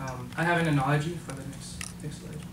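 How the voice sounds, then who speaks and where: A man at a moderate pace, with audible room echo. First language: not English. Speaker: volunteer program participant. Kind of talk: presentation. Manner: halting, many fillers.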